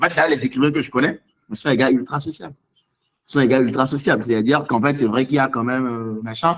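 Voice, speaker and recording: This man talks at a very fast pace with an animated tone. His pitch is medium with ordinary pitch variation. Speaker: seminar speaker on writing. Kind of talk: online seminar Q&A.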